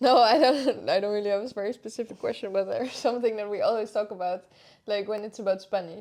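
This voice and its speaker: Very fast speech in a Dutch accent. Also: woman, fairly high pitch for a woman, ordinary pitch variation. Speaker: podcast co-host. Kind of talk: casual chat.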